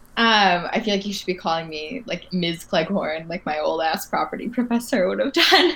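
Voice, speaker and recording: Background noise is noticeable throughout. The speech carries lively intonation. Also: woman, medium pitch for a woman, moderate pace, hardly any pauses. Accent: American. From Michigan. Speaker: lawyer. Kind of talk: casual chat.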